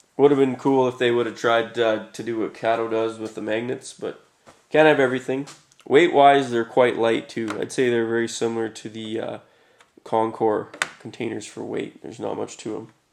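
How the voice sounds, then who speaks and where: The man talks at a medium pitch with monotone, flat intonation. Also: moderate pace. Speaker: model railroad hobbyist. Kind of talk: casual talk to camera. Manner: casual, hesitant with fillers.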